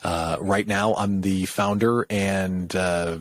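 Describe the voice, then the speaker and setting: A man with an unremarkable speaking voice talks at a fairly low pitch with fairly even intonation, in a dry, close sound with no echo on a very clean recording with a silent background. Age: middle-aged. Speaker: business coach, former radio host. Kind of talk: podcast interview. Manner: casual, conversational.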